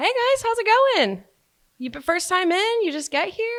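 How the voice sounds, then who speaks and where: A woman puts on a character voice at an extremely high pitch, speaking at a moderate pace. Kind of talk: customer service. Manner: bright, welcoming.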